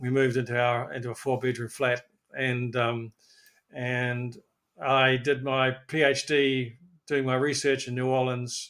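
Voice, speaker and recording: Medium pitch, a fairly slow pace and monotone, flat intonation from a man. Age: 70s. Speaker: physiotherapist and researcher. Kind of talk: interview. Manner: halting, many fillers and repeats.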